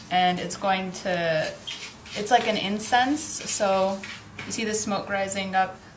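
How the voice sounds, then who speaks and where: A woman with an American accent speaks very slowly in a medium pitch with fairly even intonation, with audible room echo and noticeable background noise. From United States. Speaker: YouTuber. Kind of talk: show-and-tell vlog.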